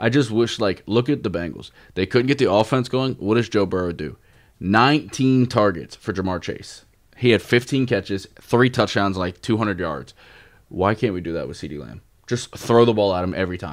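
A man with a plain, everyday voice speaks at a fairly low pitch and a moderate pace, with lively intonation. The recording is very clean, with a silent background. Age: 20s. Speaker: sports card podcast co-host. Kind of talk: casual chat.

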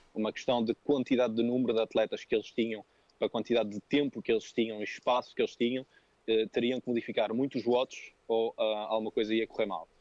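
A man at a very fast pace with a medium pitch and monotone, flat intonation. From France, Paris area. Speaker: personal trainer and coach. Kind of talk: casual interview.

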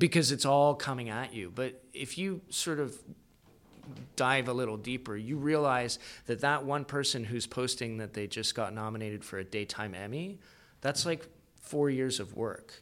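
A man speaks in an ordinary speaking voice at medium pitch with ordinary pitch variation and a moderate pace. The recording is very clean, with a silent background. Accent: Canadian. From Canada, Calgary (Alberta). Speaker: actor, producer and writer. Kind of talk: casual interview chat.

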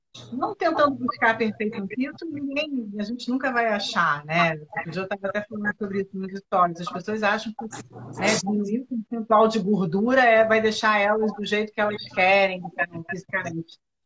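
A woman with an unremarkable speaking voice talks at a fairly quick pace and a fairly high pitch, with ordinary pitch variation, in a dry, close sound with no echo. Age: 40s. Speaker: nutritionist. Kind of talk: casual chat.

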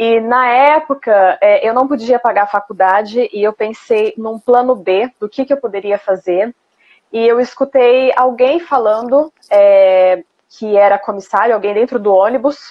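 With an unremarkable speaking voice, a woman talks at a fairly slow pace and a fairly high pitch, with ordinary pitch variation. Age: 30s. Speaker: former flight attendant. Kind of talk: interview. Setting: Instagram live stream.

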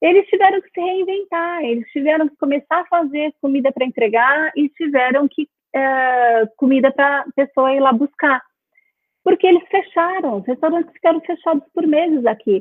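A woman with a high pitch talks with ordinary pitch variation. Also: moderate pace. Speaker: university professor. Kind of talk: interview.

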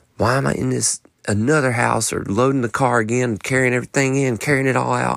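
Speaking very fast in a Southern US accent, a man of medium pitch keeps his intonation fairly even. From North Carolina. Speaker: podcast host and songwriter. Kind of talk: casual solo monologue. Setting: home office late at night. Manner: relaxed, conversational.

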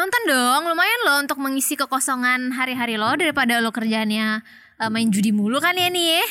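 Raised and projected, a woman's high voice has a bright, sharp tone, very even loudness and a fairly quick pace. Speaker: podcast host. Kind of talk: casual chat.

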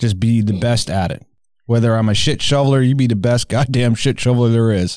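A man talks fairly quickly in an ordinary speaking voice, keeping his intonation fairly even. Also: medium pitch for a man. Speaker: podcast host. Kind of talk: casual chat.

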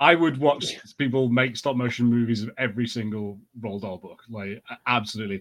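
A man with a British accent at a medium pitch, fairly quick pace, ordinary pitch variation and big swings in loudness. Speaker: podcast panelist. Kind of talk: casual banter podcast.

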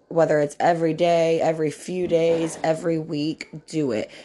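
A woman speaks in a dark, mellow tone with monotone, flat intonation. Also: quiet background. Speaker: podcast host. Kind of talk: casual chat.

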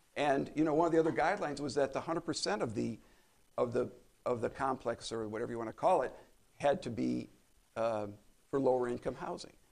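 A man's very fast speech with vocal fry, medium pitch, ordinary pitch variation, and long, frequent pauses. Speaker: city council member. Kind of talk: formal council discussion.

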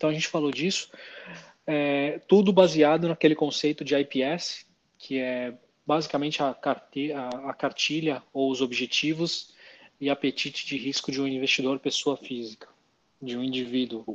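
This man has an unremarkable speaking voice, fairly high in pitch, with fairly even intonation and a moderate pace. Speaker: finance podcast co-host. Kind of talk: casual explanatory chat.

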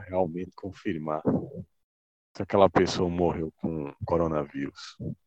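A man talking fairly slowly sounds dry and close, free of any echo. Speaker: podcast co-host. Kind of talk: casual chat. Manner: formal.

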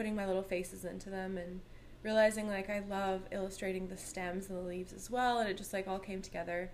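Speaking very fast in a Canadian accent, a woman keeps a medium pitch and flat, monotone intonation. The room echo is audible. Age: 30s. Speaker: artist. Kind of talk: casual chat.

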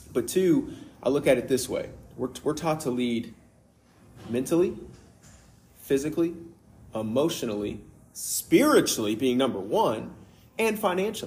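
A somewhat breathy man with a fairly high pitch, very wide pitch swings, moderate pace and long, frequent pauses. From Kentucky. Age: 30s. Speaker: father sharing faith testimony. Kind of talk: testimony.

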